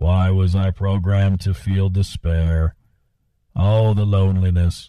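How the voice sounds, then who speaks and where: In a robotic, put-on character voice, a man speaks fairly slowly at a very deep, low pitch with monotone, flat intonation. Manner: whiny, despairing.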